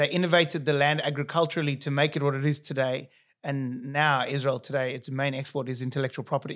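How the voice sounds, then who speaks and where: In a very clean recording with a silent background, a man with a South African accent speaks very fast in a flat monotone at a fairly high pitch. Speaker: accountant and business founder. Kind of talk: casual interview chat.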